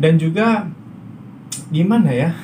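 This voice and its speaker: Against noticeable background noise, a man with a high voice speaks at a fairly slow pace. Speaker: migrant worker vlogger. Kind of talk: casual vlog monologue. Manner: hesitant with fillers.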